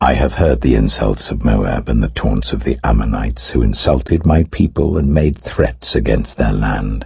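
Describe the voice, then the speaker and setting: In a warm, very deep, low voice, a man speaks at a fairly slow pace. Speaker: actor. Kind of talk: audio Bible reading. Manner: reverent, clear, warm.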